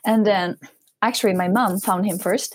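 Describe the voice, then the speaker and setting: In a somewhat breathy voice of medium pitch, a woman with a Japanese accent speaks at a moderate pace on a very clean recording with a silent background. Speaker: English-learning social media creator. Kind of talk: interview. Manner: informal, many filler words.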